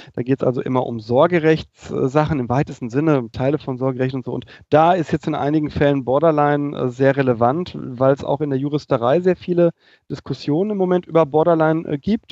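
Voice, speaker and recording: Speaking at a fairly quick pace, a man uses a plain, everyday voice with a fairly high pitch and ordinary pitch variation. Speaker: podcast host, psychologist. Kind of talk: casual podcast chat. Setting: remote recording, live chat. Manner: witty, jokey.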